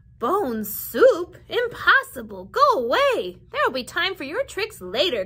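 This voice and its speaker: A woman's put-on character voice, extremely high in pitch with very wide pitch swings, fairly slow with hardly any pauses. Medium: read story.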